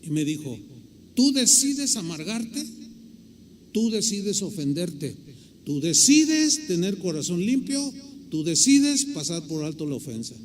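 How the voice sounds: A man talks fairly slowly in a high pitch. His pitch swings very widely, and he leaves long, frequent pauses.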